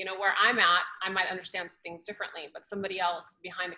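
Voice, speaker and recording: A woman at a very fast pace, monotone with flat intonation. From Moscow, Russia, then Arizona from age twelve. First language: Russian or Farsi. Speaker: actress and influencer. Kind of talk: casual interview.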